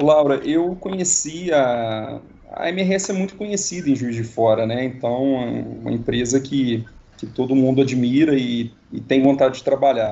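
A man's ordinary pitch variation and fairly slow pace come through above noticeable background noise. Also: medium pitch for a man. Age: 30s. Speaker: engineering specialist. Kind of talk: casual interview. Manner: halting.

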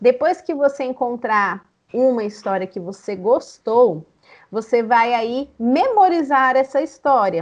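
Over a quiet background, a woman speaks at a very slow pace in a high pitch with lively intonation. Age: 30s. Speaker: storyteller and storytelling teacher. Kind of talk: interview.

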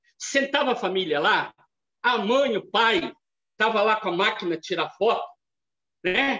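A man projects a raised, high-pitched voice with a bright, sharp tone and lively intonation. He speaks at a fairly slow pace with long, frequent pauses. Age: 50s. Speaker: theology lecturer. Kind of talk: lecture.

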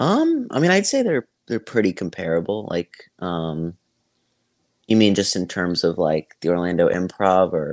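A man with an American accent at a moderate pace, dry and close with no echo, on a very clean recording with a silent background. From Tampa, Florida. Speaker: stand-up comedian. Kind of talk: casual interview chat.

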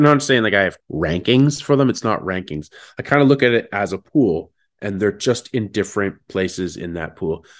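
Lively intonation at a moderate pace in a normal speaking voice with a Canadian accent, against a quiet background. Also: man. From Ontario, Canada (Sarnia). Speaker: motivational speaker. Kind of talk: casual chat.

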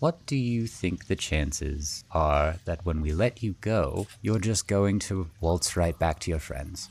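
A man with a very deep, low pitch speaks at a fairly slow pace, with lively intonation and hardly any pauses. His voice is somewhat breathy, and the recording is very clean with a silent background. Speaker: tabletop game player. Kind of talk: tabletop role-playing game session. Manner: joking, animated.

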